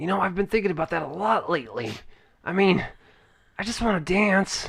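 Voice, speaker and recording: A man puts on a raspy character voice with a high pitch. He delivers it at a fairly quick pace. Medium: actual play. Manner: hesitant, rambling, filler-heavy.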